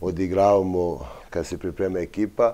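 A very deep, low male voice, dark and mellow in tone, its intonation staying fairly level. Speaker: football club coach. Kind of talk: interview answer. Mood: pleased, reflective. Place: studio. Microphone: lapel.

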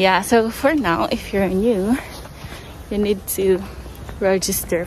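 A woman speaking at a very slow pace, with ordinary pitch variation, a dry sound with no echo, and light background noise. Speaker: vlogger. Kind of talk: casual vlog chat. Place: street. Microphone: phone near.

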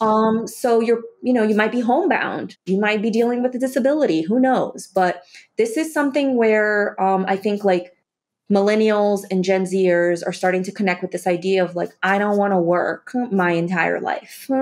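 A woman speaks with an American accent at a moderate pace. Her pitch variation is ordinary. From Brazil-born, raised in the US from age eight. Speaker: investing coach. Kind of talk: interview conversation. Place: home room. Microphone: webcam.

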